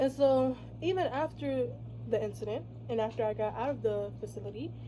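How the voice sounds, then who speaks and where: Noticeable background noise runs beneath a woman talking at a fairly quick pace. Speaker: vlogger. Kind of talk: casual vlog monologue. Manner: loud; halting.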